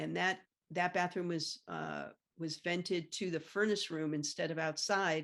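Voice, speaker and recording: A fairly low-pitched woman's voice with vocal fry, a monotone, flat intonation and a fairly slow pace. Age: 60s. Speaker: property owner sharing meth contamination story. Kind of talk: interview. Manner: halting, many fillers.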